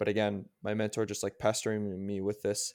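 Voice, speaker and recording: A man with a Canadian accent speaks in an unremarkable speaking voice at a fairly low pitch and a moderate pace, on a very clean recording with a silent background. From Canada. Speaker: strength coach and personal trainer. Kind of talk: casual interview.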